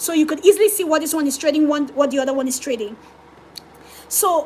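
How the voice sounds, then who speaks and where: Loud and animated, a woman talks at a very fast pace with a high pitch over noticeable background noise. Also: ordinary pitch variation. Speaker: forex trader streaming live. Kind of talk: live trading stream, reading chat. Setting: livestream.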